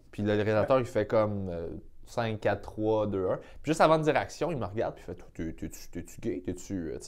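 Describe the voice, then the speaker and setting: A normal speaking voice from a man, fairly low in pitch, with lively intonation, big swings in loudness and a moderate pace. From Quebec, South Shore of Montreal (Sainte-Julie). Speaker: comedian. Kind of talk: casual chat.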